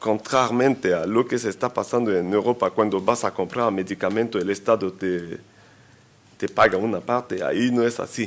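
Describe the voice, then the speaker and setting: A man talks at a moderate pace, with a medium pitch and fairly even intonation. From Central Africa. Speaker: health consultant and pharmacist. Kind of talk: conference talk. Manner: halting, with self-corrections.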